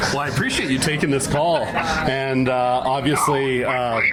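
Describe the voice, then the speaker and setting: A man at a fairly slow pace, with noticeable background noise and audible room echo. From Canada, Vancouver. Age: 40s. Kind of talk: casual chat on a phone call. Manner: flustered, halting.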